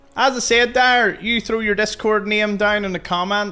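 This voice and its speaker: A man with a Belfast accent speaks in a bright, sharp tone. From Northern Ireland, Belfast. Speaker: gaming streamer. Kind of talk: live stream chat while gaming. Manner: casual, conversational.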